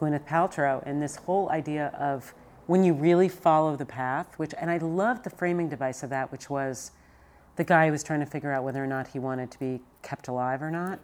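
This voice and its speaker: Pitch shifts in an ordinary way while the speaker delivers the words fairly quickly. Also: woman, very deep, low pitch for a woman. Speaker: TV executive producer and podcast host. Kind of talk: casual chat.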